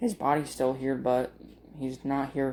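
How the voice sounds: At a slow pace, a man talks in a dark, mellow tone at medium pitch, with little pitch movement.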